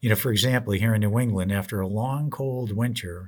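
Heard on a very clean recording with a silent background, a man has a normal speaking voice, fairly low in pitch with ordinary pitch variation, at a moderate pace. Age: 60s. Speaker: retirement planning radio host. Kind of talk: podcast monologue.

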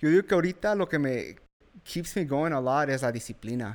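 Recorded very cleanly with a silent background, a man speaks at a fairly quick pace. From US, Mexican-American family in Washington. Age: 20s. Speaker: army veteran and freight broker. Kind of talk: podcast interview. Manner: halting, with fillers and repeats.

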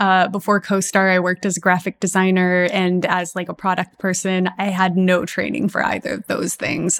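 A woman's unremarkable speaking voice at medium pitch, with an American accent and a moderate pace, in a very clean recording with a silent background and a dry, close sound with no echo. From Texas, US. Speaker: app founder and astrologer. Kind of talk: interview.

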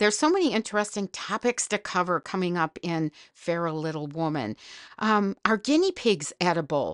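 A woman with an Upper Midwest accent speaks at a moderate pace in a medium pitch with lively intonation. The sound is dry and close with no echo, against a quiet background. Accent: Upper Midwest American. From northern Wisconsin. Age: old. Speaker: podcast host. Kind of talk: comedic monologue.

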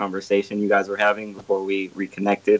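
Speaking at a moderate pace, a man uses an unremarkable speaking voice pitched fairly low. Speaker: caller. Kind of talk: casual chat. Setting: phone call.

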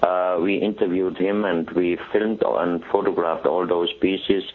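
A man talks at a fairly slow pace in a very deep, low voice with monotone, flat intonation. Noticeable background noise can be heard. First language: German. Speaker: exhibition organizer and artifact collector. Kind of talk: interview. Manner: halting, with frequent fillers.

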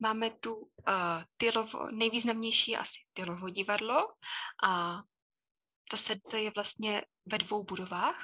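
Her voice has a bright, sharp tone and a fairly high pitch with ordinary pitch variation, and this woman speaks at a very slow pace. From Czechia, Chodov near Karlovy Vary. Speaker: Czech language teacher. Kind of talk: casual interview.

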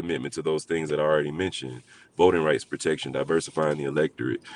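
A man speaks at a very fast pace in an American accent, his very deep, low pitch marked by vocal fry. His intonation stays fairly even in a dry, close sound with no echo. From Alabama, US South. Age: 40s. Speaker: community organizer. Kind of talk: interview.

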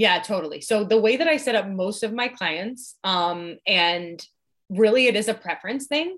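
With lively intonation, a woman talks in an ordinary speaking voice at a fairly high pitch and a moderate pace. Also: very clean recording, silent background. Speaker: fitness coach. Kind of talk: casual chat.

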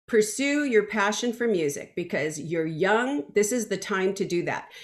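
Using very wide pitch swings, a woman with a fairly high pitch speaks at a fairly slow pace. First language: Spanish. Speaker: singer. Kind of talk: interview.

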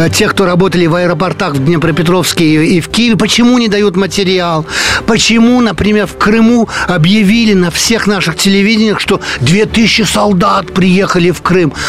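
Noticeable background noise sits behind a man speaking at a moderate pace. His pitch is high, with ordinary variation. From France, Paris. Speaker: journalist and émigré community leader. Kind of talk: radio interview. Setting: studio.

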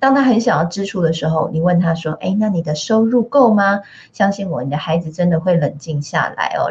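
A fairly quick pace carries the talking along. There is a somewhat breathy quality to it. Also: woman. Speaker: radio host. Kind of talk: radio interview. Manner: animated.

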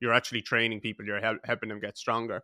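A man with an Irish accent speaks at a medium pitch in a bright, sharp tone with monotone, flat intonation, on a very clean recording with a silent background and a dry, close sound with no echo. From Ireland, Waterford. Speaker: podcast host. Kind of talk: interview conversation.

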